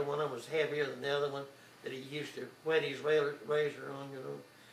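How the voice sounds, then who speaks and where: A man with an Oklahoma accent talks in a monotone, flat intonation, with audible room echo and noticeable background noise. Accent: Oklahoma rural Southern US. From Oklahoma, El Reno area. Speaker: grandfather telling his life story. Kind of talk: oral history storytelling. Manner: halting, with many fillers.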